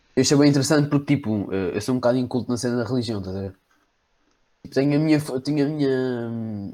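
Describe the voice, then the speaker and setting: On a very clean recording with a silent background, a man speaks at a very fast pace in a dark, mellow tone with ordinary pitch variation and long, frequent pauses. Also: medium pitch for a man. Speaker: podcast guest, friend of hosts. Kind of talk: casual chat.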